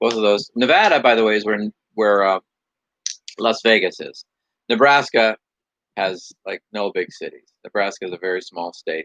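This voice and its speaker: With an American accent, a man speaks with long, frequent pauses in a dry, close sound with no echo. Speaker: livestream co-host. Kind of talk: casual chat. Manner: fast.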